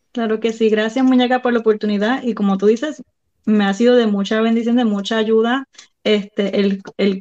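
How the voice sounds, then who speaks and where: A woman speaks at a moderate pace in a fairly high pitch, her intonation fairly even. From Puerto Rico. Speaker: violinist and mother. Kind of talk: casual interview.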